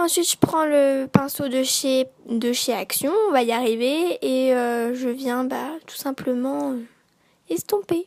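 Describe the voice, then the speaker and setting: A woman with a high pitch at a very slow pace, with big swings in loudness. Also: ordinary pitch variation. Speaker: beauty youtuber. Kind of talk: makeup tutorial. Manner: hesitant, many fillers.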